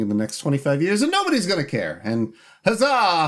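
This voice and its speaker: A man talking at a very fast pace with very wide pitch swings, in a very clean recording with a silent background. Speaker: podcast co-host. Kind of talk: casual chat.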